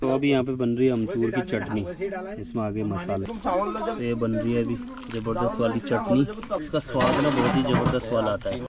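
Lively intonation carries this moderate-paced speech over clear background noise. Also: man, medium pitch for a man.

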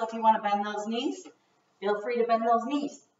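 A woman is speaking. Audible room echo follows her voice. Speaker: fitness instructor. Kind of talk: workout instruction. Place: home room. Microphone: camera far.

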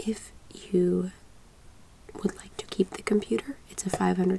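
A woman talks. She is soft-spoken, with light background noise. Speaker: interview candidate. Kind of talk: casual interview talk. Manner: soft-spoken, quiet, close ASMR voice. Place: home room.

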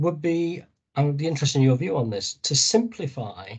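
Against a quiet background, a man talks at a fairly quick pace with lively intonation, a fairly high pitch and a somewhat breathy voice. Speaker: academic discussant. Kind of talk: academic discussion. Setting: video call. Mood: interested, polite. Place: home room. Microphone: video call.

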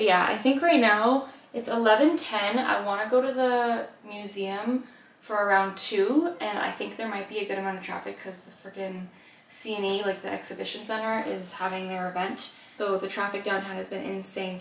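Audible room echo surrounds a voice at a moderate pace, with ordinary pitch variation and big swings in loudness. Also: woman. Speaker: vlogger. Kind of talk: casual vlog chat. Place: kitchen. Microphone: camera far.

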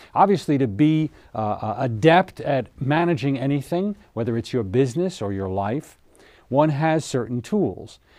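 A man's voice with very wide pitch swings, at a moderate pace, against a quiet background. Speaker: TV show host. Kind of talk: seminar lecture. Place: studio.

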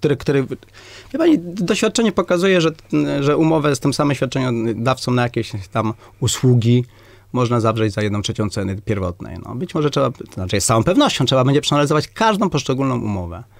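Against a quiet background, a man speaks at a very fast pace with very wide pitch swings. The sound is dry, with no echo. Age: 50s. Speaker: doctor and medical clinic director; candidate. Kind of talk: radio interview. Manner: halting, many repetitions and fillers. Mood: firm, assertive. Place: studio.

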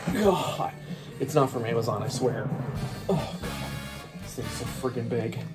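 A man's voice over clear music in the background. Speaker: unboxing video host. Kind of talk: casual vlog chat. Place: home room. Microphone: phone near.

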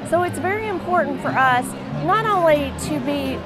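Clear music can be heard behind the voice. A woman speaks at a moderate speed. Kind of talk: interview answer. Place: hall. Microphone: lapel.

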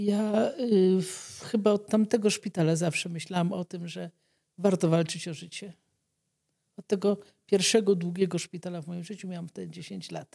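The tone is dark and mellow, with fairly even intonation at a moderate pace. Loudness swings widely. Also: woman, medium pitch for a woman, quiet background. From Poland. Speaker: doctor treating leprosy patients; guest. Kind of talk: interview testimony. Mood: calm, reflective. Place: studio. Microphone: studio mic.

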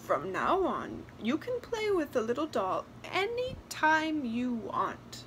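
A woman speaks slowly in a put-on character voice, high-pitched with a fairly bright tone. Her pitch swings very widely.

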